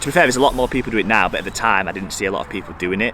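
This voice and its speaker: A man with a Yorkshire accent speaks at a fairly low pitch, with ordinary pitch variation. Noticeable background noise runs behind him. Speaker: fitness YouTuber. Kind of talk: Q&A vlog. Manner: fast; casual.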